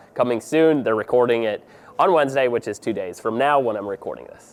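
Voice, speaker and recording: Over noticeable background noise, a man speaks in a relaxed tone at a fairly quick pace. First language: Pennsylvania Dutch. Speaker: drone deer recovery pilot, vlogger. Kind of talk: casual vlog talk to camera. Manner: relaxed, informal.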